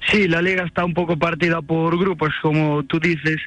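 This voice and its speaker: The speaker holds a moderate pace with a monotone, flat intonation. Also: man. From A Coruña, Spain. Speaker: amateur footballer and student. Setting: phone call.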